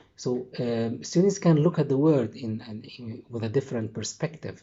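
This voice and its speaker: Speaking in an Arabic accent, a man talks at a fairly slow pace with a medium pitch and ordinary pitch variation. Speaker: English teacher trainer. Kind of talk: lecture. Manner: halting.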